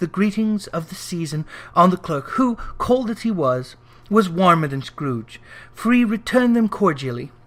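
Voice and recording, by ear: With lively intonation, a person reads aloud in a natural voice.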